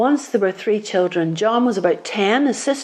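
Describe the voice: Someone reads the text aloud in a plain way.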